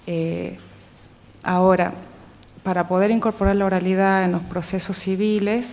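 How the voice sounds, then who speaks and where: Audible room echo surrounds a woman of medium pitch who speaks fairly slowly in a flat monotone, with long, frequent pauses. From Metán, Salta province, northwestern Argentina. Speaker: lawyer, assistant prosecutor applying for a judgeship. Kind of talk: formal job interview. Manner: formal, with frequent filler hesitations.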